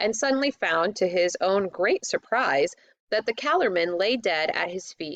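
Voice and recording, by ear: Reading aloud in a natural voice, with lively intonation, over a quiet background.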